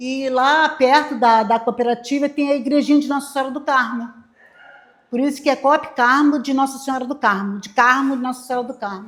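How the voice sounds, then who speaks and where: A woman speaks in a high pitch at a fairly quick pace, her intonation fairly even. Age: 70s. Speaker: waste picker cooperative leader. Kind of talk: informal talk to class. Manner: halting.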